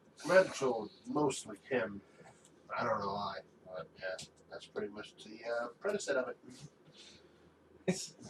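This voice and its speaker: Mumbling in a put-on character voice, a man with a medium pitch goes at a moderate pace with long, frequent pauses. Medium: actual play. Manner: low, mumbling, brooding.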